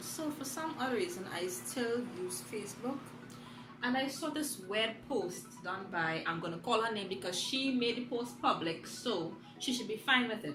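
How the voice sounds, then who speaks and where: A woman's fairly high voice with lively intonation at a fairly slow pace, with music in the background. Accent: Trinidadian. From Trinidad and Tobago. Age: 20s. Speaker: doctor and singer. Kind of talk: casual talk to camera.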